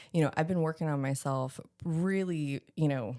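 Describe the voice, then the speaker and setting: The tone is animated, with ordinary pitch variation at a moderate pace. The recording is very clean, with a silent background. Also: woman. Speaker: corporate sales trainer. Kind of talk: casual chat.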